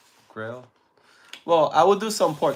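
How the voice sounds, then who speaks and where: A man with a Spanish accent talks at a fairly quick pace in a fairly high voice. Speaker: live streamer. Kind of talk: casual chat. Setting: live stream.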